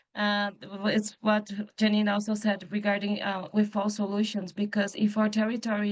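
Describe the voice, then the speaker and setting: With a Portuguese accent, a woman speaks at a moderate pace and a medium pitch, her intonation monotone and flat. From Brazil. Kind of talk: panel discussion.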